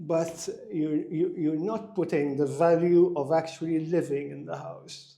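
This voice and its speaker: Heard with audible room echo, a man speaks in a fairly high voice with fairly even intonation. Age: 60s. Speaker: executive coach. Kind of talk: interview.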